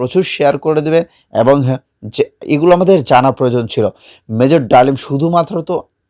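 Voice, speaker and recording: The speaker is a man with a normal speaking voice and ordinary pitch variation. The sound is dry and close with no echo, on a very clean recording with a silent background. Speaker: news channel presenter. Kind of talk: news commentary.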